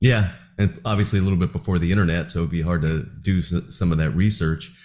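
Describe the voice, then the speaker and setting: Very fast talk from a man with an American accent, very deep and low in pitch, dark, mellow in tone. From New Jersey. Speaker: podcast host. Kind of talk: interview.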